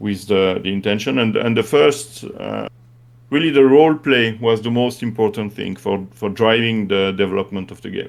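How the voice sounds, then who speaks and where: With a French accent, a man speaks in a fairly low pitch. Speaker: game creator. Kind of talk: interview. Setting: live stream. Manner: halting.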